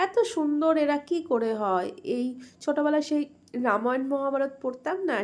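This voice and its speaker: This woman's voice is high-pitched, with lively intonation. Her recording is very clean, and nothing can be heard behind her. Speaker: vlogger. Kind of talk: travel vlog narration.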